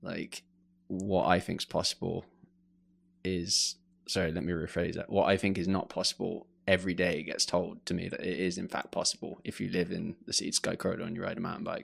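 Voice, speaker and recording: In an English accent, a man talks at a fairly quick pace on a very clean recording with a silent background. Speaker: mountain bike photographer. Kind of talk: podcast interview. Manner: hesitant, many fillers.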